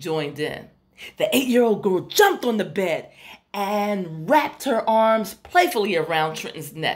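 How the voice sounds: This recording features a natural reading voice.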